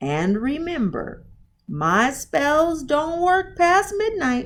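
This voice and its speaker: A woman's put-on character voice, very slow and high-pitched, with very wide pitch swings. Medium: read story.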